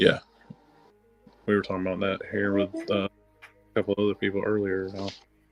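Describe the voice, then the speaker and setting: A man with a slight Southern accent speaks in a fairly low, monotone voice with flat intonation, at a fairly quick pace broken by long, frequent pauses. Music plays in the background, and the sound is dry and close with no echo. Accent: slight southern twang. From US South. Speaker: army veteran and wargamer. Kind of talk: casual chat.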